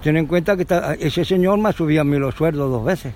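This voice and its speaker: A man speaks at a moderate pace with a fairly high pitch. Noticeable background noise runs under his voice. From Andalusia (Córdoba province). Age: 80s+. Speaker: retiree, neighbourhood resident. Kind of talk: street interview. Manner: halting, repetitive.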